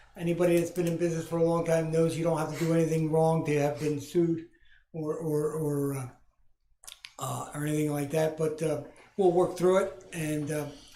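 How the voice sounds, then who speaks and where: Audible room echo follows a man with a fairly high voice as he speaks in a flat monotone at a fairly quick pace. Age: 60s. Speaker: business owner. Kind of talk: public comment at council meeting. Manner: halting, many fillers.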